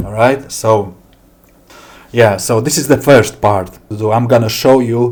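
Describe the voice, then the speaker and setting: The voice is somewhat breathy, with a Latvian accent, fairly even intonation and a very slow pace. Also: man. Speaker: software developer. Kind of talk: software demo tutorial. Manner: halting.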